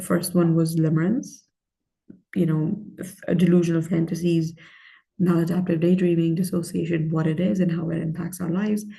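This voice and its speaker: A woman with a fairly low pitch and a dark, mellow, somewhat breathy tone talks at a fairly quick pace, with fairly even intonation. She takes long, frequent pauses, and room echo is audible. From Pakistan, moved to Michigan at sixteen. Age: 30s. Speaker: life coach. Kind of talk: self-help talk to camera.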